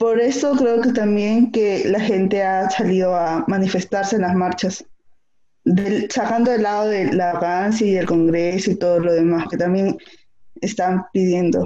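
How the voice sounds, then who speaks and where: A woman with a dark, mellow tone speaks at a fairly slow pace and a medium pitch, with ordinary pitch variation and very even loudness. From Peru. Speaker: podcast co-host. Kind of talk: casual chat.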